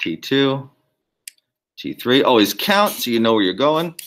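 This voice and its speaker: Lively intonation runs through a man's medium-pitched voice. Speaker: biology lab instructor. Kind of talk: lab demonstration tutorial. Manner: fast.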